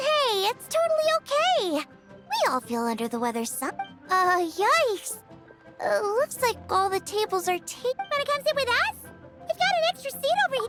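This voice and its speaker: A woman uses a cartoonish character voice at an extremely high pitch. She goes at a moderate pace over loud music in the background. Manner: bubbly, upbeat.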